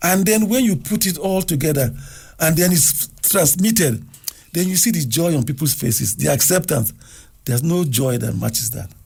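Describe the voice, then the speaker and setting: Speaking at a moderate pace, a man with a fairly high pitch uses lively intonation and vocal fry. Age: 70s. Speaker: television producer. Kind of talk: radio interview.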